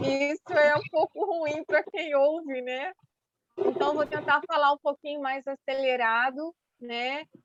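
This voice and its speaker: A woman's high voice, fairly slow, with ordinary pitch variation and a dry, close sound without echo. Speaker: women's ministry speaker. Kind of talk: church talk to women.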